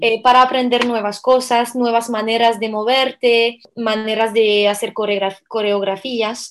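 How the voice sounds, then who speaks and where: This is a woman speaking in a high voice. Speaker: belly dancer and dance teacher. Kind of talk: interview.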